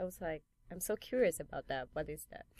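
A woman speaks with a Chinese accent. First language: Mandarin Chinese. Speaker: piercer and painter. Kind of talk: casual interview. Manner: hesitant, many fillers.

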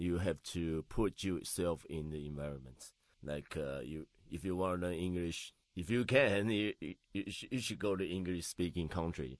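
A man's very deep, low voice at a fairly slow pace, with ordinary pitch variation and a quiet background. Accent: Taiwanese. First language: Mandarin Chinese. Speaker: DJ and home cook. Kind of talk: casual interview chat. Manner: halting.

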